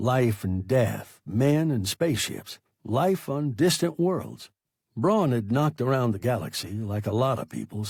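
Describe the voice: Lively intonation in a plain read-aloud, quiet background behind it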